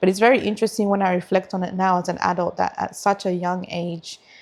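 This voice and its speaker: In an Australian accent, a woman speaks at a very fast pace with medium pitch and monotone, flat intonation. The recording is very clean, with a silent background. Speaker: lawyer and community advocate. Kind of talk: casual chat.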